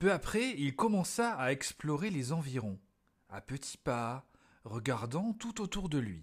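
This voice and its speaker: A fairly high-pitched man speaks very slowly in a gentle, calm tone that is somewhat breathy and has very wide pitch swings, on a very clean recording with a silent background. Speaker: storyteller reading to children. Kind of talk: bedtime story reading aloud. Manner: gentle, calm storyteller pacing, child-directed.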